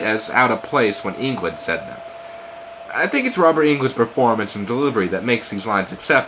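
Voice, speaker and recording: Here a man speaks at a fairly quick pace. Noticeable background noise is present. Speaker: amateur movie reviewer. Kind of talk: movie review narration.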